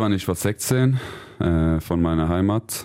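Speaking very slowly with a Swedish accent, a man has a very deep, low pitch on a very clean recording with a silent background. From Sweden. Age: 30s. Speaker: handball player. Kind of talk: interview.

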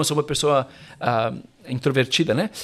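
A man talks at a fairly quick pace. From Brazil, São Paulo. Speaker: pastor and author. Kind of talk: casual interview. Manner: halting, many fillers.

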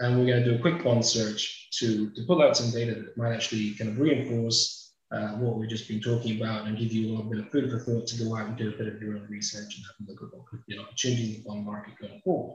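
A man talks fairly quickly. He has a British accent. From UK. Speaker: webinar host, data company partnership manager. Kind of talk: software demo and moderation. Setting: video call webinar. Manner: quick, rushed demo.

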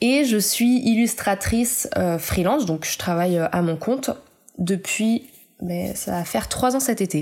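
A woman with a plain, everyday voice and medium pitch talks fairly slowly, her intonation lively. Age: 30s. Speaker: illustrator. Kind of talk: interview.

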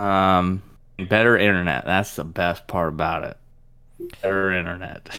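A man with a very deep, low pitch and a bright, sharp tone talks at a fairly slow pace, with fairly even intonation and long, frequent pauses. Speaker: podcast co-host. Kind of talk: casual chat.

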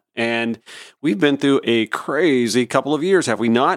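A man with a normal speaking voice talks at a moderate pace with lively intonation. The recording is very clean and dry, close with no echo, and the background is silent. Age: 40s. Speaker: radio host. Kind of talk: casual chat; reading aloud.

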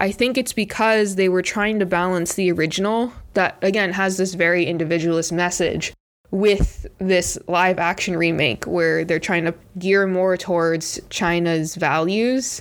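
Delivered in an American accent, an unremarkable speaking voice moves at a fairly slow pace with fairly even intonation and very even loudness. The recording is very clean, with a silent background. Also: woman, medium pitch for a woman. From United States. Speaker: podcast co-host. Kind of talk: casual chat.

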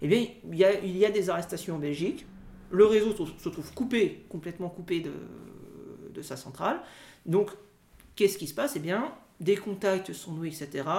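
A man's high-pitched voice with a dark, mellow tone, ordinary pitch variation, big swings in loudness, a moderate pace and long, frequent pauses. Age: young. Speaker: history teacher and doctoral researcher. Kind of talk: interview. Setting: recorded outside the studio. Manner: halting.

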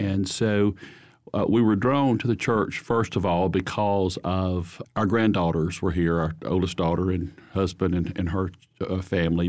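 Recorded very cleanly against a silent background, a man with a very deep, low pitch speaks at a fairly slow pace with fairly even intonation. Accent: Alabama. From Holly Pond, Alabama. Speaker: church choir singer. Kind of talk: interview testimony.

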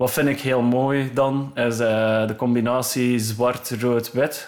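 Monotone and flat, a man speaks at a medium pitch. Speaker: electronic music producer and DJ. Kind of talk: casual interview. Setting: home studio.

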